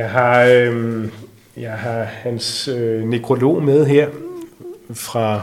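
Medium in pitch, a man speaks with monotone, flat intonation. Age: 60s. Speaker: magician. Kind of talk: interview.

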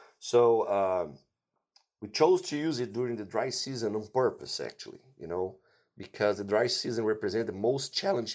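On a very clean recording with a silent background, a man with a Portuguese accent speaks at a moderate pace. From Brazil. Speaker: animal nutrition scientist. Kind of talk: interview.

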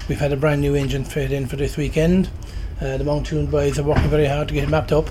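The man speaks at a very fast pace. Noticeable background noise and audible room echo surround his voice. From Ireland. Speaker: rallycross driver. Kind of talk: trackside interview. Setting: race circuit motorhome.

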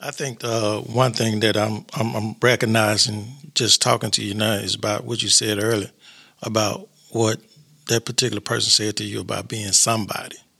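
A man's fairly low voice with vocal fry and a bright, sharp tone, monotone and flat, at a moderate pace. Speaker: podcast host. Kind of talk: casual interview. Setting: studio.

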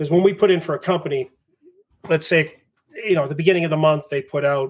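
Speaking very fast in a Boston accent, a man with a fairly high pitch sounds somewhat breathy, with ordinary pitch variation. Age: 40s. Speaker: fire captain and instructor. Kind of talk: casual interview chat. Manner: fast talker.

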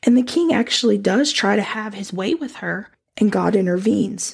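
Using a warm tone with vocal fry, a woman speaks at a moderate pace in a fairly high pitch. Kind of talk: devotional talk on scripture. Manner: warm and encouraging; laughs often.

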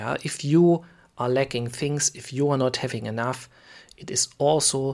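Fairly slow speech with a German accent. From Germany. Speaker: podcast host, preacher. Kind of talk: sermon-style teaching. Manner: halting, many fillers.

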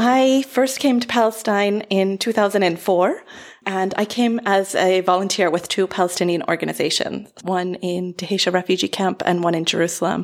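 Her voice is a plain, everyday voice, at a medium pitch with ordinary pitch variation. This woman keeps a moderate pace with hardly any pauses. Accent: American. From United States. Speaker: nonprofit worker. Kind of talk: casual chat.

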